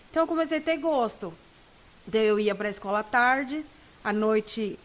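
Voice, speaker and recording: A woman speaks in a normal speaking voice at a fairly quick pace. Her intonation is lively. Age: 20s. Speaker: law student. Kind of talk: interview.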